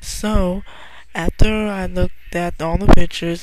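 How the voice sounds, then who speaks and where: Soft-spoken, a woman talks at a fairly slow pace with fairly even intonation. Noticeable background noise can be heard. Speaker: online artist. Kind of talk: casual vlog monologue. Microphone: quiet, listeners told to raise volume.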